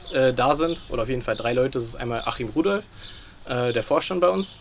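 Noticeable background noise runs through the clip. The man's pitch is medium. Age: 20s. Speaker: youth chess coach. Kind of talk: interview. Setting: outdoors.

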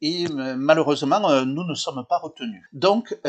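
A man speaks at a very slow pace with a fairly high pitch. His pitch varies in an ordinary way. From Occitanie, southern France. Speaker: tourism office representative. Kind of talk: interview.

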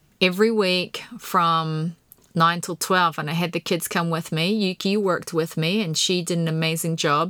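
A woman with a New Zealand accent speaks at medium pitch in a bright, sharp tone with fairly even intonation. The recording is very clean with a silent background. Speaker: podcast host. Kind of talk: casual monologue. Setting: home podcast room.

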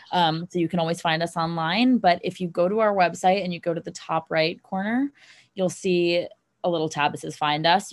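This woman has a normal speaking voice at a fairly low pitch with ordinary pitch variation. The recording is very clean, with a silent background. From US Northeast, New York City. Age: 20s. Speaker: beverage company founder. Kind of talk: interview.

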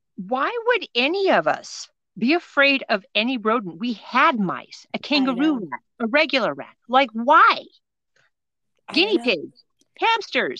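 A woman's high-pitched, raised and projected voice, bright and sharp in tone, swings very widely in pitch at a fairly slow pace. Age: middle-aged. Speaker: podcast co-host.

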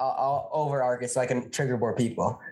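The man sounds somewhat breathy as he speaks. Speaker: podcast co-host, college student. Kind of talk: casual chat. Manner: animated, talkative.

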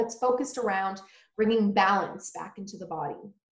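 A woman with an ordinary speaking voice talks at a fairly quick pace in a fairly high pitch with fairly even intonation. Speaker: holistic nutritionist. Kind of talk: casual interview chat.

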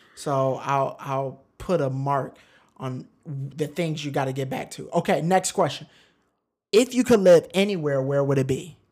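In an animated, playful tone, a man speaks fairly slowly in a fairly high pitch with ordinary pitch variation, on a very clean recording with a silent background. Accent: American. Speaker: podcast co-host. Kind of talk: casual chat.

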